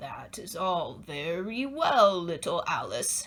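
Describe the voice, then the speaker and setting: In a put-on character voice, a female-sounding speaker growls at a middle pitch and a fairly slow pace. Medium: read story. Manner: warm, gently instructive.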